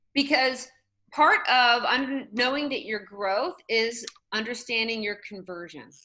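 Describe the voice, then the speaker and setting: A woman with a high pitch talks at a fairly slow pace, her pitch varying in an ordinary way while her loudness swings widely. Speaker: real estate trainer. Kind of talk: online training session. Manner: animated.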